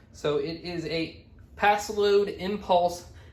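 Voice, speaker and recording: A man's high voice at a very slow pace, with ordinary pitch variation and audible room echo. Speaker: eBay reseller, YouTuber. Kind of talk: casual vlog. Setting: garage. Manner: casual, filler words.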